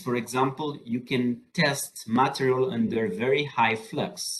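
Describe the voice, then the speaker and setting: A man speaks in a fairly high, somewhat breathy voice. His pitch swings very widely. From southern France. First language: French. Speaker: solar energy researcher and professor. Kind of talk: lecture. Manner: halting, with many fillers.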